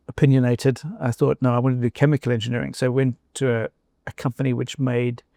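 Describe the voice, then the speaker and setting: A man with a South African accent, medium pitch, very fast pace and monotone, flat intonation, his dark, mellow tone heard dry and close with no echo in a very clean recording against a silent background. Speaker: former company chief executive. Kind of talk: interview conversation. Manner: hesitant, with fillers and restarts.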